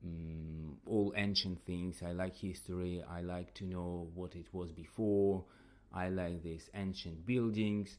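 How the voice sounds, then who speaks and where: A man with a non-native accent speaks at a very deep, low pitch. His delivery is very slow, with monotone, flat intonation. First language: not English. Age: 30s. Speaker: podcast host and English teacher. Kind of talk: casual solo podcast talk. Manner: halting, with many repetitions.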